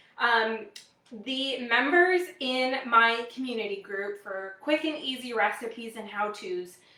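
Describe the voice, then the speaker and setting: A woman with an American accent speaks at a fairly high pitch, and some room echo can be heard. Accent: slight Wisconsin accent, comes out at times. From US Midwest, Wisconsin. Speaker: product demonstrator, cooking host. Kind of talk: live product demo stream. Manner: casual, frequent fillers.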